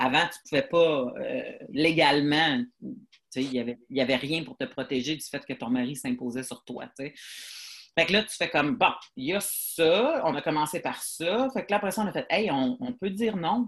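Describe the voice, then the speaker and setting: A woman's very deep, low voice with very wide pitch swings, big shifts in loudness and a moderate pace. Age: 40s. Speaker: comedian. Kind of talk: casual chat. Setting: video call.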